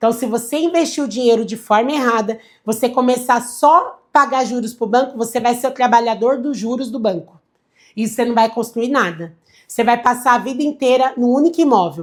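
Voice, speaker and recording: In an animated tone, a woman speaks at a fairly quick pace and a high pitch with ordinary pitch variation, on a very clean recording with a silent background. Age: 30s. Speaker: financial advisor. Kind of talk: livestream lecture.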